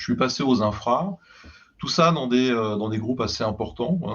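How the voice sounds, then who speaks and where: Against a quiet background, a man uses a normal speaking voice with lively intonation at a moderate pace. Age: 60s. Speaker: IT executive, former CIO and advisor. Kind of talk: interview podcast, casual conversational. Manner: relaxed, frequent fillers.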